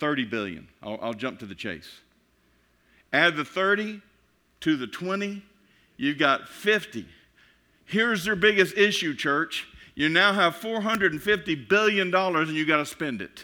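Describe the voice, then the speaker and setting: A man with a Texan accent speaks in a high voice with a bright, sharp tone and very wide pitch swings, pausing long and often, on a very clean recording with a silent background. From Texas. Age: 50s. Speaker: pastor. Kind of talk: sermon. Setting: church. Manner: fast; animated.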